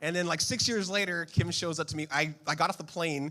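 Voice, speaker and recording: An animated, bright, sharp tone comes through in an American accent. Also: man. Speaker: pastor. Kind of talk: sermon. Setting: church service with congregation.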